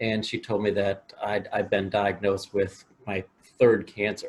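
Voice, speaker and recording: Speaking with a Midwestern American accent, a man has a fairly low, somewhat breathy voice. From US Midwest, Willard, Ohio. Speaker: motivational speaker. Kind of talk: interview. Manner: halting, repeats words.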